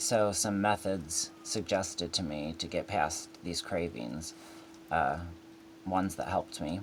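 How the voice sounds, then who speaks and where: A man talks at a fairly slow pace with a very deep, low pitch. His voice is somewhat breathy. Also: ordinary pitch variation. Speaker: person in recovery from opioid addiction. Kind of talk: casual talk to camera. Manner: hesitant, with fillers.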